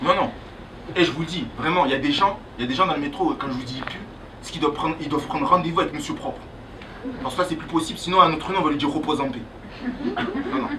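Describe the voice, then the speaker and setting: Over noticeable background noise and audible room echo, a woman with a very deep, low pitch talks in an animated tone at a very fast pace, with ordinary pitch variation, big swings in loudness, and long, frequent pauses. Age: 20s. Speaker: comedian. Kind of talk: stand-up. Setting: stage with audience.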